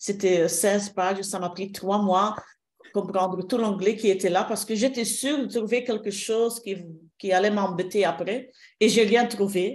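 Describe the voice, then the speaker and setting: A woman with a slight non-native accent speaks at a fairly slow pace, her medium pitch carried by fairly even intonation. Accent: slight foreign accent in French. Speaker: shiatsu therapist and trainer. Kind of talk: interview. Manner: halting, many hesitations.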